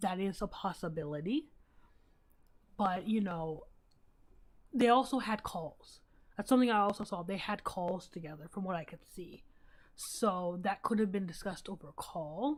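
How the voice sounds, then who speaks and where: Somewhat breathy, a woman speaks at a moderate pace with ordinary pitch variation and long, frequent pauses. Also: medium pitch for a woman, big swings in loudness. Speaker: livestreamer. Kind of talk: casual live stream commentary.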